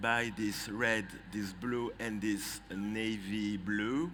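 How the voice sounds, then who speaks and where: With a French accent, a man talks at a very slow pace and fairly low pitch amid audible room echo. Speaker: trend forecaster. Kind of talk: presentation. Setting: conference stage with audience. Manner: halting.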